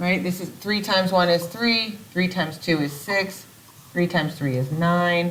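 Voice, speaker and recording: A woman speaks at a fairly low pitch and a fairly slow pace, sounding somewhat breathy. Her pitch varies in an ordinary way, and room echo can be heard. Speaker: math teacher. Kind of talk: recorded video lesson. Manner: casual.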